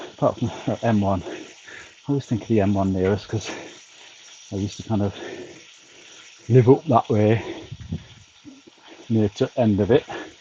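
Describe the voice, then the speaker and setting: Against noticeable background noise, a man speaks at a moderate pace in a fairly low pitch with ordinary variation and long, frequent pauses. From northern England, York. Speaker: charity cyclist livestreamer. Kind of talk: casual livestream chat. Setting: back garden on turbo trainer.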